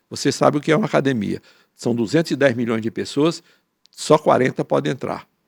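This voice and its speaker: This man talks at a fairly quick pace with medium pitch, ordinary pitch variation and vocal fry. The sound is dry and close with no echo, on a very clean recording with a silent background. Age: 80s+. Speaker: professor and author. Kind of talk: panel talk. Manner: halting.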